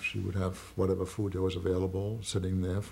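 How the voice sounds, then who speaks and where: Somewhat breathy with a dark, mellow tone, the voice keeps a fairly even intonation. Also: man. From Germany. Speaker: Holocaust survivor. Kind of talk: testimony. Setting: recorded interview. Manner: halting.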